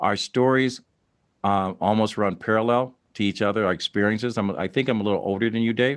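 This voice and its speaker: This man has an unremarkable speaking voice with an American accent, a fairly low pitch, fairly even intonation and very even loudness, moving at a fairly quick pace. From Dayton, Ohio. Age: 60s. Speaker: podcast host. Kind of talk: interview.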